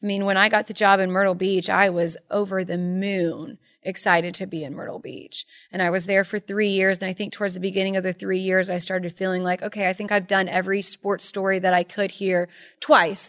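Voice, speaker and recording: Using monotone, flat intonation, a woman with an American accent talks at a fairly quick pace. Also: medium pitch for a woman. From Charleston, South Carolina. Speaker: sports broadcaster. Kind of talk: casual interview.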